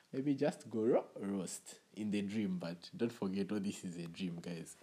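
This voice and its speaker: With a dark, mellow tone, a man talks at a fairly low pitch with ordinary pitch variation. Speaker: podcast host. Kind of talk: casual comedic podcast monologue.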